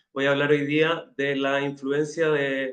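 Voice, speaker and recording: This man speaks with a Chilean accent. His pitch is fairly high. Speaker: university professor. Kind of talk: academic webinar presentation.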